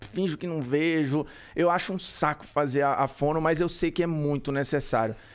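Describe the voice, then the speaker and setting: A man's fairly high voice in a Ceará accent, with fairly even intonation. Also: moderate pace. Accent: Northeastern Brazilian (Ceará). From Ceará, Brazil. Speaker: sports commentator. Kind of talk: casual chat.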